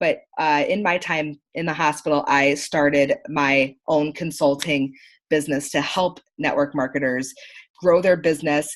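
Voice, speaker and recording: A woman with an American accent speaks in a very deep, low voice at a fairly slow pace. Her intonation is monotone and flat, and the background is quiet. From upstate New York. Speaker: marketing consultant. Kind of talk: online training presentation.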